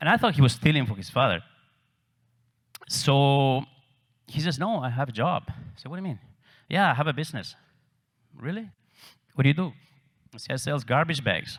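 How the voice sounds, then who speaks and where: A somewhat breathy voice with an Argentine accent moves at a fairly quick pace with lively intonation and long, frequent pauses. The recording is very clean, with a silent background. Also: man, fairly high pitch for a man. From Argentina, Cordoba. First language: Spanish. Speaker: real estate agent. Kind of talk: conference talk.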